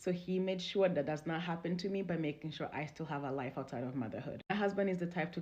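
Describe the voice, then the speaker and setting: A woman talks in a fairly low, somewhat breathy voice with ordinary pitch variation. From Congo. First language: not English (Congolese language/French). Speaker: relationship storyteller. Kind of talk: personal testimony.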